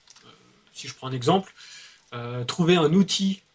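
With a somewhat breathy voice, a man talks at a moderate pace. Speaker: youtuber. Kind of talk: explanatory discussion.

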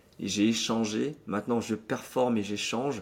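A man in an unremarkable speaking voice talks at a fairly slow pace and a fairly low pitch, with fairly even intonation. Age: 30s. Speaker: magician and speaker. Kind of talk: interview.

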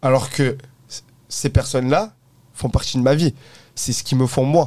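Very clean, with a silent background, this recording has a man speaking at a moderate pace. His medium-pitched voice carries a dark, mellow tone. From southern France, Provence. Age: 20s. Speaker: entrepreneur. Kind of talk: casual interview. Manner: hesitant, many fillers.

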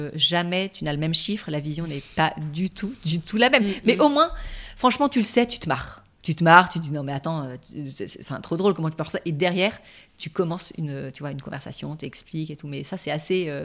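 A plain, everyday voice at a fairly quick pace, with lively intonation and big swings in loudness. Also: woman, fairly low pitch for a woman. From southern France (Toulon). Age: 40s. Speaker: relationship coach. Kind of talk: interview.

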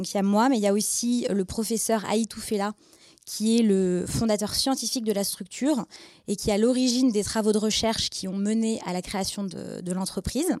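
Here is an ordinary speaking voice from a woman with fairly high pitch. She keeps a moderate pace and fairly even intonation. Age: 20s. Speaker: biotech startup co-founder. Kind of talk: interview with students.

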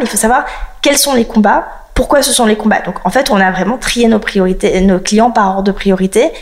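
Against noticeable background noise, a woman with a fairly high pitch and ordinary pitch variation talks at a moderate pace. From France, partly raised in South Africa. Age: 30s. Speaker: lawyer and law firm founder. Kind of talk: interview.

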